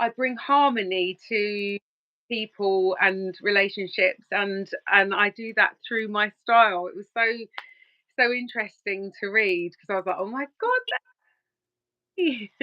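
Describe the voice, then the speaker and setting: Her medium-pitched voice moves at a fairly slow pace with fairly even intonation, big swings in loudness, and long, frequent pauses from this woman. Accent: London. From Surrey, southern England. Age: 20s. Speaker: relationship coach. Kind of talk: podcast interview. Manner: halting, many fillers.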